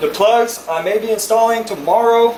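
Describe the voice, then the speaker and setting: Someone with an American accent speaks over noticeable background noise. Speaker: car enthusiast YouTuber. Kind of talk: casual unboxing vlog. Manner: fast.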